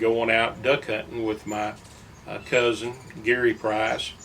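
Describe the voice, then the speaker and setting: Noticeable background noise sits behind a man speaking with an East Texas accent. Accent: East Texas Southern US. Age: 70s. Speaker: local fisherman and former lake guide. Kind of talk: personal reminiscence. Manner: halting, many fillers.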